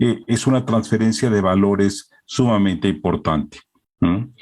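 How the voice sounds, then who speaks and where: This man, with a Mexican accent, speaks at a moderate pace and a fairly low pitch. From Mexico. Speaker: publishing director. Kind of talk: formal remarks at an online presentation. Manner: hesitant, many filler sounds.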